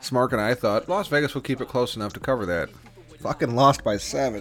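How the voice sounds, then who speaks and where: Lively intonation from a man at medium pitch, with noticeable background noise. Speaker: sports betting podcast host. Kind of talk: casual banter, sports picks show. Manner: profane, talkative.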